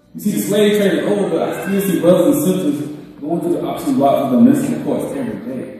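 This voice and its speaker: Strong room echo around a man's high voice with very wide pitch swings. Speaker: spoken word poet and guest speaker at a church summit. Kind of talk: spoken word poetry performance. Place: church. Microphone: camera far.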